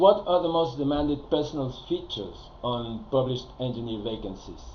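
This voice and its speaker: Audible room echo surrounds a man who speaks at a moderate pace in a fairly high pitch. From Spain. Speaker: career advisor. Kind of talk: recorded presentation. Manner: hesitant, many fillers.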